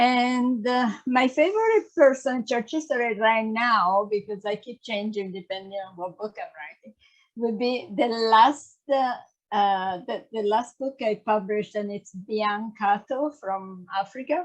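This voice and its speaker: A woman talks at a fairly slow pace in an Italian accent. Her pitch is fairly high, and her loudness swings widely. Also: ordinary pitch variation. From Italy. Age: 60s. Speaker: church history author. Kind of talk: casual interview. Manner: halting.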